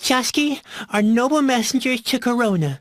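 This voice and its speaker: In a put-on character voice, a female-sounding speaker talks at a high pitch and moderate pace. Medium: video game. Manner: gloomy, sarcastic.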